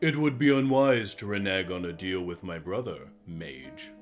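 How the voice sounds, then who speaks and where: Putting on a character voice, a man with a fairly low pitch moves at a moderate pace through very wide pitch swings while clear music plays in the background. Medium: actual play. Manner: smooth, measured.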